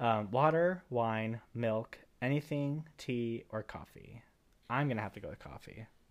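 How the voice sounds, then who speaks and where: Speaking at a fairly slow pace with an American accent, a man shows ordinary pitch variation and big swings in loudness. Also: medium pitch for a man. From Cuban American, US. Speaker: podcast co-host. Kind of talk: casual chat between co-hosts. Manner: shy, soft-spoken, mumbles.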